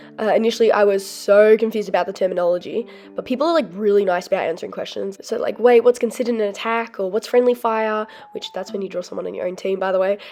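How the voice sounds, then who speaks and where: A woman's fairly high voice at a very fast pace, with music in the background. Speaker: artist. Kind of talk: casual talk to camera.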